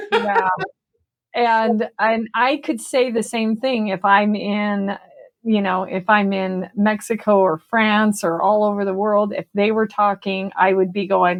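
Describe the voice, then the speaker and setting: A woman with an ordinary speaking voice talks at a medium pitch. Her intonation is fairly even and her pace fairly slow. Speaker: podcast co-host. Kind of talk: casual chat.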